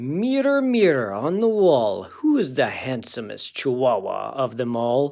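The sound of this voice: In a put-on character voice with a Spanish accent, a man speaks at a medium pitch and a fairly slow pace with hardly any pauses.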